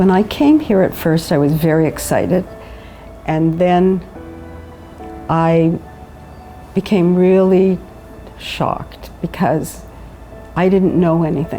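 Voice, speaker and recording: With music in the background, a woman with a Canadian accent talks at a very slow pace and fairly low pitch, keeping fairly even intonation, very even loudness, and long, frequent pauses. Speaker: widow. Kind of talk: interview answer.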